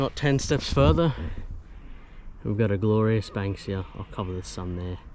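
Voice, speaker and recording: This man has an Australian accent. His pitch sits fairly low. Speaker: travel vlogger. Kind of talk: casual vlog narration. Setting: outdoors, bush walk. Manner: animated.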